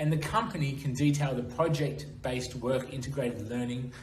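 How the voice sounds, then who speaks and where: Noticeable background noise and audible room echo accompany a man of medium pitch who speaks at a moderate pace with ordinary pitch variation. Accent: Australian. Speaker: internship program representative. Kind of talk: presentation. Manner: formal.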